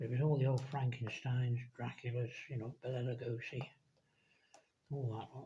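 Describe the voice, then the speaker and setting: A man's somewhat breathy, dark, mellow voice at medium pitch, in an English accent, with monotone, flat intonation, a moderate pace and long, frequent pauses. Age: 70s. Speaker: scale model builder. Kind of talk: casual chat. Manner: rambling, self-correcting.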